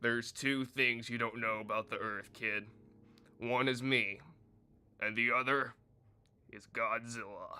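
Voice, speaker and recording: A man uses a put-on character voice at medium pitch. He goes at a fairly slow pace with long, frequent pauses. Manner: gruff, dramatic.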